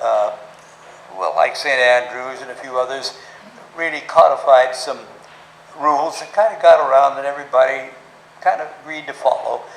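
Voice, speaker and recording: A man with a fairly high pitch and ordinary pitch variation talks at a moderate pace, leaving long, frequent pauses, with big swings in loudness over noticeable background noise. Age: 80s+; old. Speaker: story-teller. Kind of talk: talk to a club audience about golf history.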